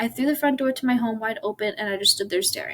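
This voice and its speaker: A woman's somewhat breathy, fairly high voice at a very fast pace with ordinary pitch variation. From Ireland. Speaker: YouTuber. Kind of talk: reading aloud. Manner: halting.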